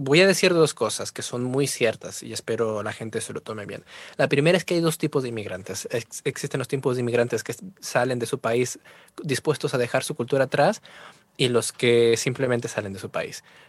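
A man talks at a fairly quick pace with big swings in loudness and ordinary pitch variation. The sound is dry and close with no echo, in a very clean recording over a silent background. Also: medium pitch for a man. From Peru, Trujillo. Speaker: music producer and vocal coach. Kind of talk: casual interview. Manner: animated.

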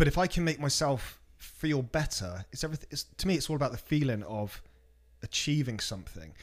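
Recorded very cleanly with a silent background, a man with an ordinary speaking voice talks fairly quickly at a fairly high pitch with lively intonation. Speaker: DJ and music producer. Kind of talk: casual interview chat.

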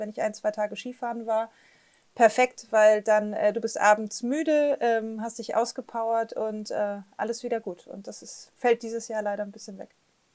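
A woman with a fairly high pitch speaks in a monotone, flat intonation at a moderate pace. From northern Germany, Flensburg. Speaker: startup investor network director. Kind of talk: interview.

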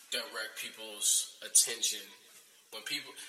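Moderately paced speech from a man, with audible room echo and noticeable background noise. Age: 20s. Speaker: podcast host. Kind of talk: casual chat. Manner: animated.

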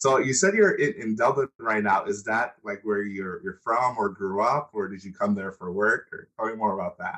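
A plain, everyday voice of a man with an American accent, moderate pace, ordinary pitch variation, big swings in loudness and hardly any pauses. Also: medium pitch for a man. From United States. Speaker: podcast host. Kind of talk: interview.

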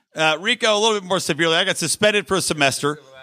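A loud, high-pitched male voice. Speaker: podcast co-host. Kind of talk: casual chat. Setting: stage with audience.

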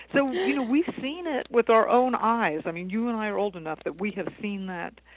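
Lively intonation from a woman at a moderate pace, very clean recording, silent background. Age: 50s. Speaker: sustainable living educator. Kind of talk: radio interview. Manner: animated.

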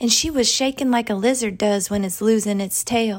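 Fairly even in intonation, a woman with a Southern US accent speaks at a moderate pace in a fairly high voice. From Arkansas, US South. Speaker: author reading her own story. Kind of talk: literary audiobook reading of a first-person story.

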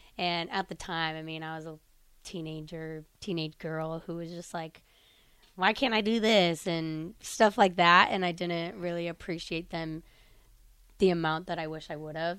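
A woman's plain, everyday voice with an American accent, fairly low pitch and fairly even intonation, on a very clean recording with a silent background. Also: moderate pace, big swings in loudness. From Illinois. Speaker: college volleyball player. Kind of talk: interview. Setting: studio.

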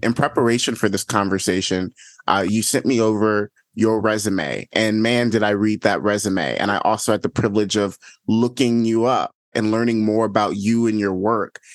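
A plain, everyday voice with an American accent, a moderate pace, very even loudness, and a dry, close sound with no echo. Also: man, fairly low pitch for a man, fairly even intonation. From not from Chicago. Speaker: podcast host. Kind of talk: interview conversation.

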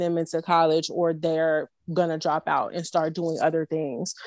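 Speaking with an American accent, a woman uses an unremarkable speaking voice, fairly low in pitch, at a fairly slow pace. The sound is dry and close with no echo, in a very clean recording with a silent background. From Chicago, South Side. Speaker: nonprofit founder. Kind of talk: casual chat.

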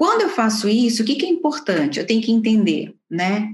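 Her pace is fairly quick and her intonation lively. This woman's medium-pitched voice is somewhat breathy. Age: 40s. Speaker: organizational psychologist. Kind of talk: interview.

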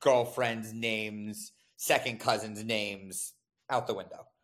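With an American accent, a man speaks in an ordinary speaking voice at a medium pitch and a moderate pace. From US South, North Carolina (Raleigh). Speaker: venture capitalist. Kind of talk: casual interview chat.

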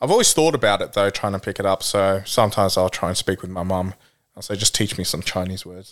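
Very fast and fairly low, a man with an Australian accent speaks with ordinary pitch variation on a very clean recording with a silent background. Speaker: guest. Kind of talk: casual chat.

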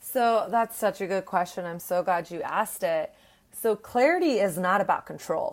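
A woman talks in an American accent. Her pitch is medium and her pace moderate. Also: ordinary pitch variation. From Texas. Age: 30s. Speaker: online educator and relationship coach. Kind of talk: casual interview. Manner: animated.

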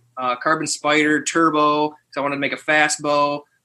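Bright and sharp in tone, a man with an American accent speaks at a fairly high pitch. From northern Michigan. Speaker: former football player and hunter. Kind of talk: casual interview chat.

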